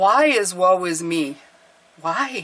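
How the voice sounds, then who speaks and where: At a middle pitch, this put-on character voice carries the whole clip. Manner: whiny, complaining.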